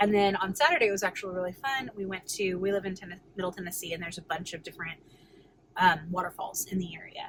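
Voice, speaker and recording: At a very fast pace, a woman speaks at a medium pitch with ordinary pitch variation and big swings in loudness. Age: 30s. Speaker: weight loss vlogger. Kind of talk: casual vlog. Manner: quiet.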